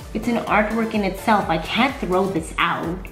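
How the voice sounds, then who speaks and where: Clear music sits behind the voice. The woman's pace is fairly slow. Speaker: food vlogger. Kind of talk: casual vlog chat. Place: home room.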